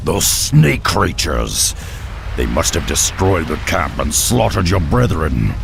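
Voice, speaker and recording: A man speaks in a put-on character voice at a fairly slow pace. Loud noise fills the background. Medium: short film. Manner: blunt, gruff.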